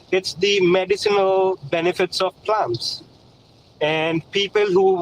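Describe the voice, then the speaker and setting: This man speaks at a fairly slow pace with a non-native accent, his voice high for a man and his intonation fairly even. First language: not English. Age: 30s. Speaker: caller. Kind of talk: debate. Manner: halting.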